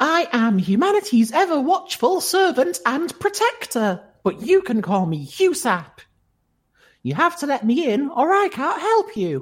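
At a moderate pace, a high-pitched put-on character voice swings very widely in pitch. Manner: soothing, insistent.

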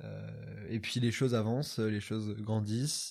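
The recording is very clean, with a silent background. The tone is dark and mellow. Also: man. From France, Troyes. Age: 20s. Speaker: youtuber. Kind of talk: casual interview.

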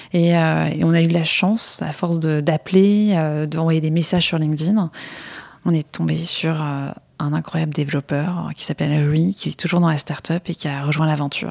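Moderate-paced speech from a woman, very deep and low-pitched, its intonation fairly even. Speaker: startup co-founder. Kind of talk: interview.

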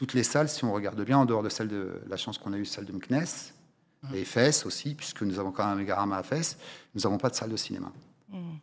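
Speaking at a very fast pace, a man uses a fairly low voice with ordinary pitch variation. He leaves long, frequent pauses. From France, Paris suburbs (Val-d'Oise), Moroccan family from Oujda. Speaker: cinema logistics business owner. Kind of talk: interview. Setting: studio. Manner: halting, many repetitions and fillers.

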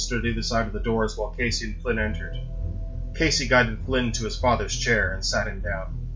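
Reading in an unforced voice

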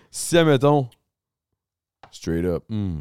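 On a very clean recording with a silent background, dry and close with no echo, a man in a Quebec accent speaks at a medium pitch and a very slow pace. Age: 30s. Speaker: podcast host. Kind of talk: casual chat.

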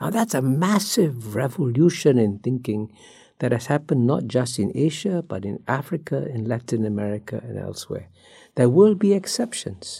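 The voice has a dark, mellow tone, somewhat breathy, with very wide pitch swings at a moderate pace. The recording is very clean, with a silent background. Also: man, medium pitch for a man. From Singapore. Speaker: former diplomat and author. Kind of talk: interview.

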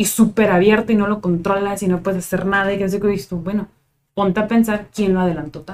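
A woman speaks at a very fast pace in a northern Mexican accent. Her medium-pitched voice is monotone and flat. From Tijuana, Mexico. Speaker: psychologist. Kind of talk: casual chat.

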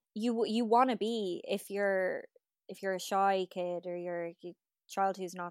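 Monotone and flat in her intonation, a woman with an Irish accent is heard on a very clean recording with a silent background, in a dry, close sound with no echo. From Ireland. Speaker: podcast host. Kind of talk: casual chat.

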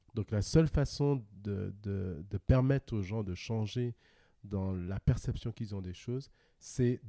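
A man speaks very slowly in a fairly low pitch with ordinary pitch variation and a dark, mellow tone, recorded very cleanly with a dry, close sound, no echo and a silent background. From Guadeloupe. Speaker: podcast guest. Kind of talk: casual interview conversation. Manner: laughs often.

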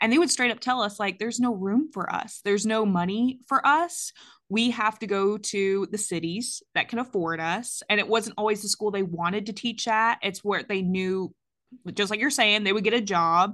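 Against a quiet background, a woman with an American accent speaks in a plain, everyday voice at a medium pitch, with ordinary pitch variation and a moderate pace. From US South, Georgia. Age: 30s. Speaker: podcast host and parent. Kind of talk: casual interview chat.

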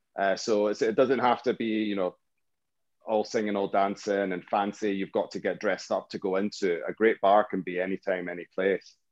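A man with a Scottish accent speaks at a moderate pace and a fairly low pitch, with monotone, flat intonation. The sound is dry and close, with no echo. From Scotland, Fife. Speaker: drinks entrepreneur. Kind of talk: casual chat.

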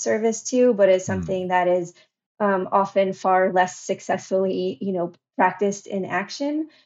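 Her voice is unremarkable, a woman at medium pitch speaking at a moderate pace with fairly even intonation. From New Jersey. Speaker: education researcher. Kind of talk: interview conversation.

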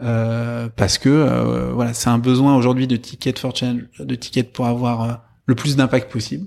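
Recorded very cleanly against a silent background, a man speaks fairly slowly with fairly even intonation. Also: medium pitch for a man. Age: 30s. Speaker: social entrepreneur. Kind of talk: interview. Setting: in person, speaking with masks on. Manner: halting, many fillers.

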